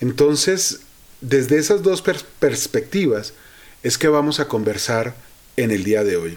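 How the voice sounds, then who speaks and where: Pausing long and often, a man speaks at a fairly slow pace with very wide pitch swings. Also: medium pitch for a man. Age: 50s. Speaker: psychologist podcast host. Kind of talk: solo podcast monologue, reflective talk.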